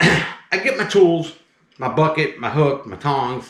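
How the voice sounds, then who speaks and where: Audible room echo fills the space around this man. His pitch is fairly high. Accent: slight Southern US. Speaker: snake handler and channel host. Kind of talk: casual storytelling. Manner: animated.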